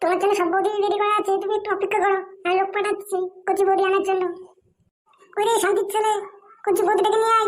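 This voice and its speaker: An extremely high-pitched cartoonish character voice, very fast and flat in intonation. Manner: brash, coarse.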